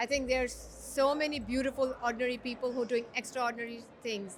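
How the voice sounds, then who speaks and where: A woman with an American accent, high-pitched, at a moderate pace with fairly even intonation, over noticeable background noise. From Dubai. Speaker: podcaster and HR professional. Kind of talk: casual interview.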